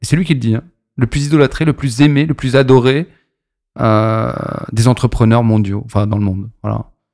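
Long, frequent pauses at a moderate pace, with ordinary pitch variation. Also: man, medium pitch for a man, very clean recording, silent background. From Paris region, France (Maisons-Alfort). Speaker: champagne brand entrepreneur. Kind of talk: interview.

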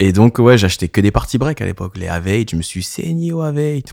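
A man's dark, mellow voice, dry and close with no echo, in a very clean recording with a silent background. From Paris region, France. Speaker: DJ. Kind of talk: casual chat.

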